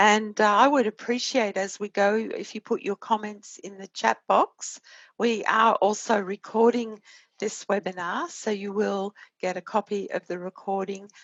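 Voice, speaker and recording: Speaking at a moderate pace with an Australian accent, a woman holds a medium pitch and fairly even intonation while her loudness swings widely. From Australia (Sydney). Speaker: innovation consultant. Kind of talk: webinar presentation.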